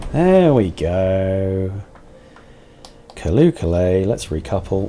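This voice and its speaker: Very deep, low-pitched man at a very slow pace, with ordinary pitch variation and noticeable background noise. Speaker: video game streamer. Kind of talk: live gameplay commentary. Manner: soft-spoken.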